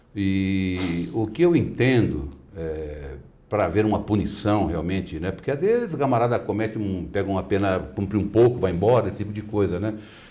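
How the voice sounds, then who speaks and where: Moderate-paced speech from a man with a fairly low pitch, plus audible room echo. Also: ordinary pitch variation. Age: 60s. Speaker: lawyer. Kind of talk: interview. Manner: animated.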